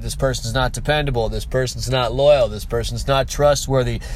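The recording of a man carries noticeable background noise and audible room echo. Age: 30s. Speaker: podcast host, online business owner. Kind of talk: motivational monologue. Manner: casual, conversational.

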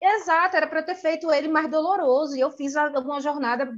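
Her words come fairly fast, and the woman's pitch moves in a typical way. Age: 30s. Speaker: hair salon owner. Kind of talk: casual chat. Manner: talkative.

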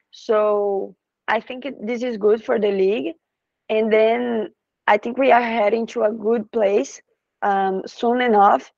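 In a Brazilian accent, a woman with a fairly high pitch and ordinary pitch variation speaks at a very slow pace against a quiet background. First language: Portuguese. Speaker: professional soccer player. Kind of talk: interview in English. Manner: halting, with hesitations.

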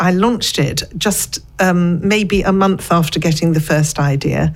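Against noticeable background noise, a woman speaks in a fairly low voice with ordinary pitch variation, very even loudness and hardly any pauses. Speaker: business owner. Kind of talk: interview. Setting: studio.

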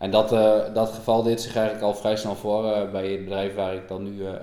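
A man's monotone, flat delivery at a fairly quick pace, with audible room echo. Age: 30s. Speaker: dairy farmer. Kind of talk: interview conversation. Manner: hesitant with many fillers.

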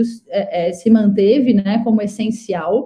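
Somewhat breathy, a woman's fairly high voice keeps a fairly even intonation. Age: 30s. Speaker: startup CEO and founder. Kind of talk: live interview chat.

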